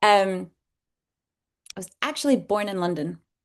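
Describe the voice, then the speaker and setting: A woman speaks at a moderate pace with vocal fry and a medium pitch. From Scotland. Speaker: herbalist and business founder. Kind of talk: casual interview chat.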